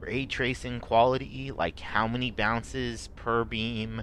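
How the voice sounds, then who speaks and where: A man with a medium-pitched voice speaks at a very slow pace. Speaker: video game streamer. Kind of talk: gameplay stream commentary. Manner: halting, many fillers; effortful speaking.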